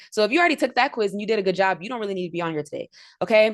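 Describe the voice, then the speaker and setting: A woman with a medium-pitched voice speaks in an animated tone, with ordinary pitch variation. The background is quiet. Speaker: trading instructor. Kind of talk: livestream lecture. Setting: live video stream. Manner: fast.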